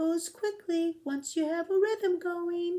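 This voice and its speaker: A woman puts on a squeaky character voice at an extremely high pitch. She speaks quietly and at a fairly slow pace. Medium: read story. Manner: quiet, to herself.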